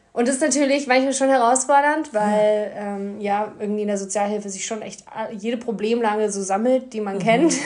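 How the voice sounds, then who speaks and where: Noticeable background noise and audible room echo come through as the speaker keeps a moderate pace. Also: woman, fairly high pitch for a woman, ordinary pitch variation. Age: 20s. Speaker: social worker. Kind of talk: casual chat.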